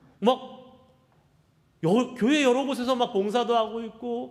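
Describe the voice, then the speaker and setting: A man speaks at a moderate pace. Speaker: pastor. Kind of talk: sermon.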